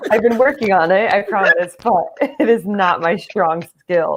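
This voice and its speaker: A woman with an American accent uses a normal speaking voice at medium pitch, with lively intonation and a moderate pace. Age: 30s. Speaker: American football player and coach. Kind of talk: interview.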